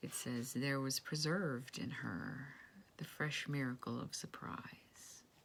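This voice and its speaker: Whispering, a woman speaks at a very slow pace. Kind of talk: casual talk to camera. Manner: hesitant, rambling.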